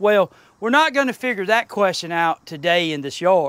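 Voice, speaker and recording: A man is speaking. His pitch swings very widely. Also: dry, close sound with no echo, very clean recording, silent background. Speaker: metal detecting youtuber. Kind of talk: tutorial. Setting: outdoors. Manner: casual.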